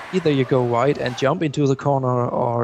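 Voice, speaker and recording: Male speech with fairly even intonation and noticeable noise behind it. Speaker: esports commentator. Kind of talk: live commentary. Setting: online stream.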